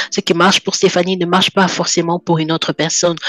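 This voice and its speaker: At a fairly quick pace and a fairly low pitch, a woman speaks with monotone, flat intonation, the sound dry and close with no echo but with noticeable background noise. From French-speaking country. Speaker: guest sharing life testimony. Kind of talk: personal testimony in interview.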